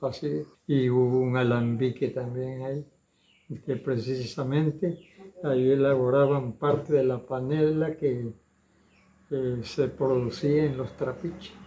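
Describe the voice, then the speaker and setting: Pausing long and often, a man speaks very slowly at a medium pitch with fairly even intonation. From Ribera de San Juan, Campeche, Mexico. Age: 80s+. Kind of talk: interview answer, oral history recollection.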